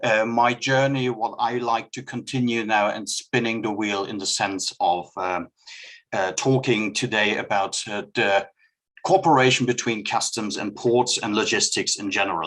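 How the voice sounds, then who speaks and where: With a German accent, a man speaks at a moderate pace in a medium pitch. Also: ordinary pitch variation. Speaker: customs expert. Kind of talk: presentation. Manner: reading from notes.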